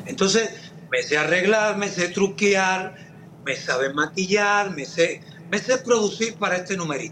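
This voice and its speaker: Against noticeable background noise, a man with a Cuban accent speaks at a high pitch. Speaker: singer and actor. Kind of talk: casual interview.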